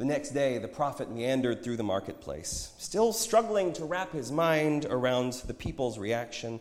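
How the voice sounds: The intonation rises and falls in a lively way in this natural reading voice.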